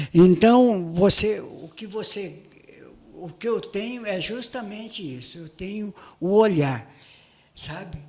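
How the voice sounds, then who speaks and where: This man talks at a very slow pace. The pitch variation in his voice is ordinary. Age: 70s. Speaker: photojournalist. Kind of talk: casual interview chat. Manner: animated.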